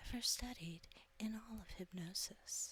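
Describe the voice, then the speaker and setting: Soft-spoken, a woman talks with lively intonation. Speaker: hypnotist. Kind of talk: introduction to camera.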